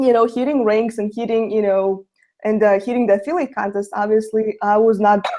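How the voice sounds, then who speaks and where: Fairly high in pitch, a woman speaks at a fairly quick pace with fairly even intonation. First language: Russian. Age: young. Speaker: network marketer. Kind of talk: webinar testimony.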